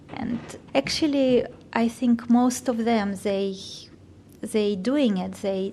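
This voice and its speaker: Very slowly, a woman with a non-native accent speaks in a fairly high, dark, mellow voice with ordinary pitch variation over a quiet background. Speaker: volunteer with holocaust survivors. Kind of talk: interview. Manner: halting.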